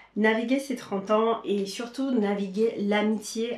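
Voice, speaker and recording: Noticeable background noise is present. A woman speaks at a fairly high pitch. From Caribbean, Saint-Martin, Haitian origin. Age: 30s. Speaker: lifestyle vlogger. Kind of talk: casual vlog talk to camera. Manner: hesitant, many fillers.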